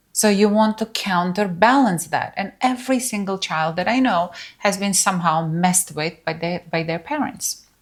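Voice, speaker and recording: A somewhat breathy woman with a non-native accent, very clean recording, silent background. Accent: foreign. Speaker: spiritual teacher. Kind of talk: workshop talk. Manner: casual, conversational.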